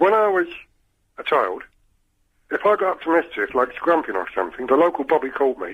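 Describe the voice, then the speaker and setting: A man with a London accent at a fairly quick pace, broken by long, frequent pauses. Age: 60s. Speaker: caller. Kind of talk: phone-in call.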